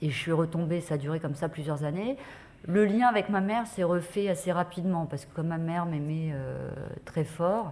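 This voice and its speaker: Moderate pace and ordinary pitch variation, with a dark, mellow tone. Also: woman. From France, Paris. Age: 40s. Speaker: journalist. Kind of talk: testimony. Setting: conference with audience. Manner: hesitant, many fillers.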